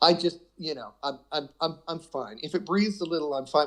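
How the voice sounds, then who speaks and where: A man speaks at a moderate pace with a fairly high pitch. His is a normal speaking voice. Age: 60s. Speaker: guitarist. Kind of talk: casual chat.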